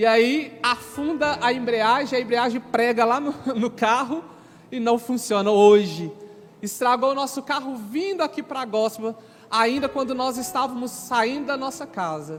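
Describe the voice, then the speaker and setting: Noticeable background noise surrounds a man with an extremely high pitch. He talks at a fairly slow pace with ordinary pitch variation. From Brazil, Minas Gerais (Sete Lagoas). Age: 30s. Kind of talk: religious testimony to an audience.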